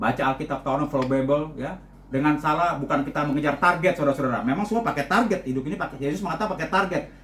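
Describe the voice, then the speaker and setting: There is audible room echo around this man. His pitch sits fairly high. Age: 60s. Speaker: lay preacher and journalist. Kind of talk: sermon. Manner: repetitive filler 'ya' and 'saudara-saudara'.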